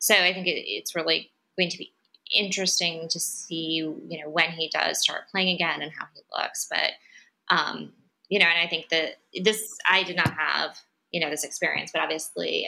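An American accent comes through. The speech moves at a moderate speed. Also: woman. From Ohio, Cleveland. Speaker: sports fan guest. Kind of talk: casual podcast chat. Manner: hesitant, many fillers.

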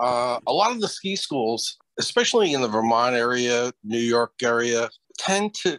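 Very slowly and with lively intonation, a man speaks in a dry sound with no echo over a quiet background. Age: 70s. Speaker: veteran ski instructor. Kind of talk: meeting discussion. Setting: video call. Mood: friendly, earnest. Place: home room. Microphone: video call.

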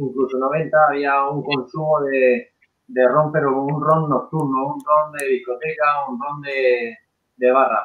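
Speaking fairly slowly with fairly even intonation, a man has a fairly high pitch and an unremarkable speaking voice. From Spain. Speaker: rum brand co-founder. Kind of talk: casual chat. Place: home room. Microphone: video call.

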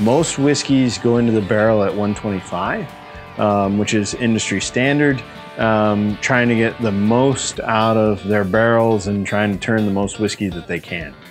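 Faint music plays in the background as a man speaks at a fairly slow pace. His pitch is fairly low, with ordinary pitch variation. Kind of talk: interview answer. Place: factory. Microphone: lapel.

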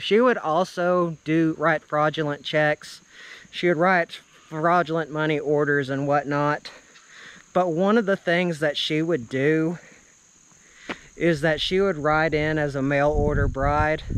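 A man speaks at a fairly slow pace with fairly even intonation. The sound is dry with no echo. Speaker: vlogger storyteller. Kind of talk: casual vlog narration of local legend. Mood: storytelling, slightly eerie topic. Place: open country. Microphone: phone near.

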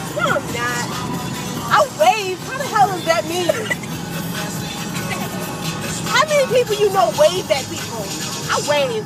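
Loud music plays behind a fairly slow delivery full of long, frequent pauses, the voice itself dry with no echo. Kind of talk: casual chat. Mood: playful, amused. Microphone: phone near.

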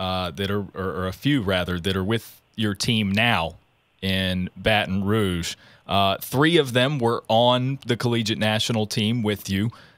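Recorded very cleanly with a silent background and a dry, close sound with no echo, a man with an American accent uses a plain, everyday voice at fairly low pitch with ordinary pitch variation. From southwestern Virginia. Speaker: podcast host. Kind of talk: interview.

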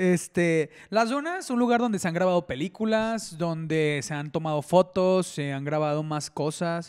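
Against a quiet background, a man talks in a high voice. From Mexico, Ciudad Juárez; Mexico. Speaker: podcast co-host. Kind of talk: casual chat. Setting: home studio. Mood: relaxed, friendly. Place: home room. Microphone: handheld.

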